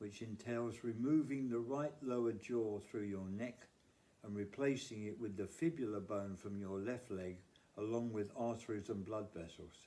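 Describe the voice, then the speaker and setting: Speaking in a British accent, a man with a fairly low pitch and a dark, mellow tone keeps a moderate pace and ordinary pitch variation. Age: 70s. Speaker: cancer survivor and charity fundraiser. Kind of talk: charity appeal, scripted monologue. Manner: formal.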